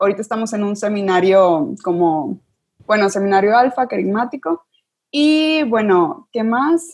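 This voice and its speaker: A woman talks at a fairly slow pace in a fairly high pitch. Her pitch swings very widely. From northern Mexico (Sabinas, Coahuila). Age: 20s. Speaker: university student. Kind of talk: casual chat.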